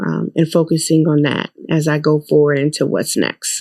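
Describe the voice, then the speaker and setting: A woman with a New York accent speaks in a very deep, low voice. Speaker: corporate creative strategist. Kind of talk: podcast interview. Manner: hesitant, many filler ums.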